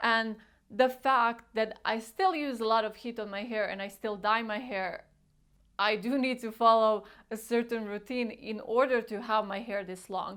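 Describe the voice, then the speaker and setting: With a non-native accent, a woman talks at a moderate pace and a fairly high pitch in a very clean recording with a silent background. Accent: foreign. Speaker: beauty vlogger. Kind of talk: casual tutorial vlog. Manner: animated.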